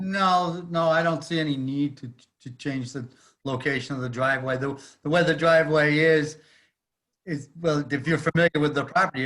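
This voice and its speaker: A man talks at a moderate pace, fairly high in pitch. It's an ordinary speaking voice with fairly even intonation. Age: 60s. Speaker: property owner applicant. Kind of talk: public hearing testimony.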